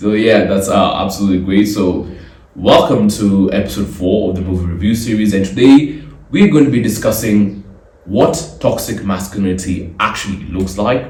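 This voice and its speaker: A man's fairly low voice with ordinary pitch variation at a moderate pace, amid audible room echo and noticeable background noise. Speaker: podcast host. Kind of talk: solo podcast commentary.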